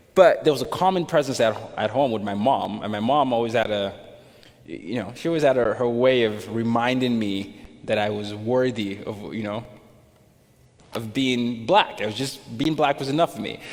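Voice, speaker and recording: Audible room echo surrounds a man with an American accent whose pitch varies an ordinary amount. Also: medium pitch for a man, moderate pace. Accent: American-sounding. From Nigeria. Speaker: speaker. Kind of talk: interview. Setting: stage with audience.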